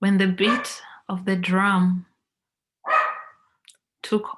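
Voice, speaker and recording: Somewhat breathy, a woman's medium-pitched voice moves at a very slow pace. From Kenya. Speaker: motivational speaker. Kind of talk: guided visualisation.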